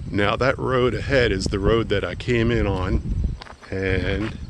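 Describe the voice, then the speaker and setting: Fairly low-pitched, a man speaks with ordinary pitch variation. The sound is dry with no echo, over noticeable background noise. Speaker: travel vlogger. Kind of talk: casual vlog chat. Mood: friendly, curious. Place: open country. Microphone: phone near.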